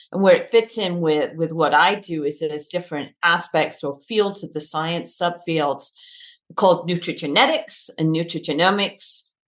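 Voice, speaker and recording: With a British accent, a woman speaks at a moderate pace in a fairly low pitch and ordinary pitch variation. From UK. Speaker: dietitian. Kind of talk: podcast interview.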